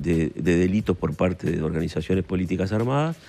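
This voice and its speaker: A man's fairly quick speech carries ordinary pitch variation amid noticeable background noise. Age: 70s. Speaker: senator. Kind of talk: radio/TV interview. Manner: hesitant, many fillers and repetitions.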